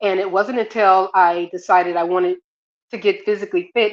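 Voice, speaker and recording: At a fairly quick pace, a woman with a plain, everyday voice speaks at a medium pitch with fairly even intonation. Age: 60s. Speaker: marathon runner. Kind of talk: casual chat. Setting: live stream.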